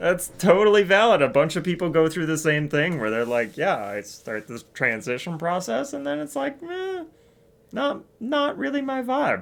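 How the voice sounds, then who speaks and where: A man speaks at a moderate pace in a high pitch, his voice swinging very widely up and down. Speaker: gaming streamer. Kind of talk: casual livestream chat. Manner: casual, many fillers.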